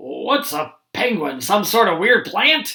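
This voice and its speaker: The speaker uses a put-on character voice with very wide pitch swings. The pace is fairly slow. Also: man. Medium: read story. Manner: bossy, emphatic.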